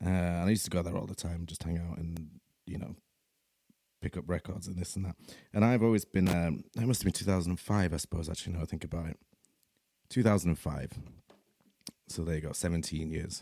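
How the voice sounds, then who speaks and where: A dark, mellow tone comes with a Yorkshire accent and ordinary pitch variation. The pace is very fast, broken by long, frequent pauses. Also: man, very deep, low pitch for a man. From Leeds, Yorkshire, England. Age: 30s. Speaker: podcast host. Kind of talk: casual monologue. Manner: hesitant, many fillers.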